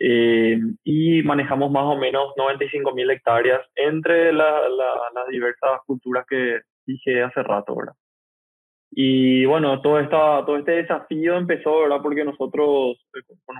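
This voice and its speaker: A man speaks in a plain, everyday voice at a fairly slow pace. His pitch is fairly high and his intonation fairly even. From Paraguay. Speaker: agtech company founder. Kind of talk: interview.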